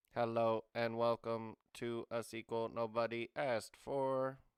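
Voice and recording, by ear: A man's put-on, robotic character voice at medium pitch, monotone and flat, at a fairly slow pace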